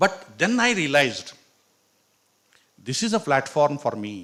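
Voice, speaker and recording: Here a man with a Karnataka accent talks in a fairly high voice. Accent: Indian English, Kannada. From India, Karnataka. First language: Kannada. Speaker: professor. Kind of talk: motivational talk.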